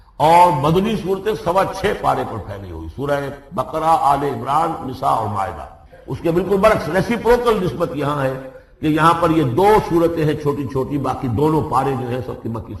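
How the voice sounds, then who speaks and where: A fairly high-pitched man's voice with lively intonation amid noticeable background noise. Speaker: Islamic scholar giving a lecture. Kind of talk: religious lecture on Quran exegesis. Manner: fluent, didactic, explanatory.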